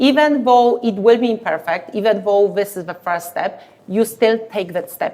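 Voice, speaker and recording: A woman with a Polish accent speaks at a fairly high pitch and a moderate pace. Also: ordinary pitch variation. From Poland. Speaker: leadership speaker. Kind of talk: podcast interview.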